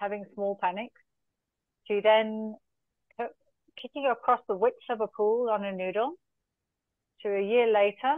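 A woman with a fairly high pitch, ordinary pitch variation and a fairly slow pace, dry sound with no echo and a quiet background. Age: 50s. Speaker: endurance coach. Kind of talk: interview answer. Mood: warm storytelling. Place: home room. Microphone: video call.

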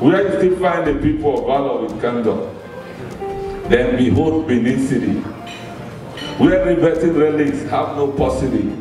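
A man with a fairly high voice speaks at a moderate pace with lively intonation and long, frequent pauses. Clear music plays in the background, and there is audible room echo. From Nigeria. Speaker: poet. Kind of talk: poetry reading. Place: hall.

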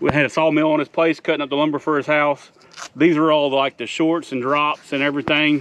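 Dry, with no echo, the sound carries a man speaking at a fairly quick pace in a monotone, flat intonation. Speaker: homesteader vlogger. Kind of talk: casual vlog chat. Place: farm machine.

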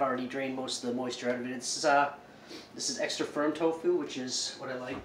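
Loud background noise sits under a voice with ordinary pitch variation. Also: man. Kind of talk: casual cooking tutorial. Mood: relaxed, joking. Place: kitchen. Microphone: camera far.

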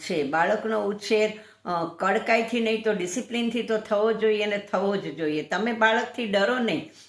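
Amid noticeable background noise, a woman speaks in a fairly high pitch with ordinary pitch variation. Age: 60s. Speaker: lawyer. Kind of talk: vlog commentary.

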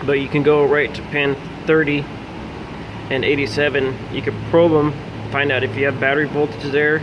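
Noticeable noise sits in the background. The speech moves at a fairly slow pace. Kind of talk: tutorial. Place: garage. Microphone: phone near.

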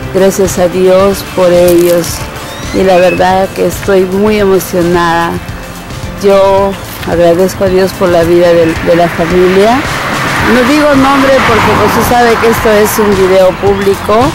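Over clear music in the background, a woman speaks at a fairly slow pace with ordinary pitch variation, the sound dry with no echo. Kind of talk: emotional religious thanksgiving speech. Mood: moved, grateful. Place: street. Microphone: phone near.

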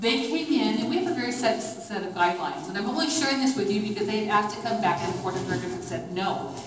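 Room echo is audible as a woman talks at a very fast pace. Light background noise sits underneath. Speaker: tour guide. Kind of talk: guided tour talk. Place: hall. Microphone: camera far.

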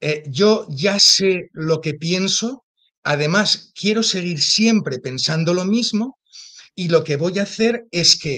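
Over a quiet background, a man speaks very slowly at a high pitch with lively intonation. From Spain, Zaragoza; Spain. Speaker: theologian; interview guest. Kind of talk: interview. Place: home room. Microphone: video call.

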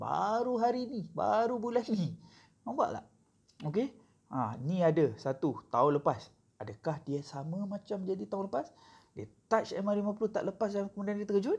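Here a man speaks at a high pitch. His intonation is lively. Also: moderate pace. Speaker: forex trading mentor. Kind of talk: tutorial. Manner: casual, code-switching with filler sounds.

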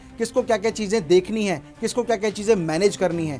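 Faint music plays in the background as a man talks in a high-pitched voice. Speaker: business trainer. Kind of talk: lecture. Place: studio. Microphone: lapel.

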